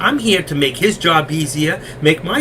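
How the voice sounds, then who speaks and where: Noticeable background noise sits behind this man. His pitch swings very widely. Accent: New York. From New York. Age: 60s. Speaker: stock trading educator. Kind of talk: live trading stream commentary. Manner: fast.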